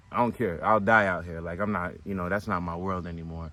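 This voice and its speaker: An American-accented man's bright, sharp-toned voice. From United States. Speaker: spiritual coach. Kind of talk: motivational talk. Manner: fast.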